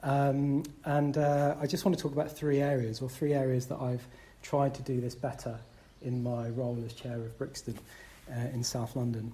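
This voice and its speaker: Somewhat breathy with a dark, mellow tone, a man speaks at a medium pitch and moderate pace, with fairly even intonation. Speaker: Buddhist centre chair. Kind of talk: dharma talk to fellow chairs.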